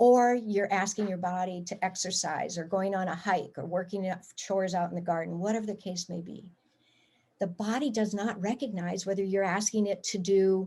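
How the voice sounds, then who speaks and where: Somewhat breathy and dark, mellow in tone, a woman talks at a moderate pace with a medium pitch and fairly even intonation. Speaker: acupressurist teaching self-help. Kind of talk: guided exercise instruction. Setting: video call.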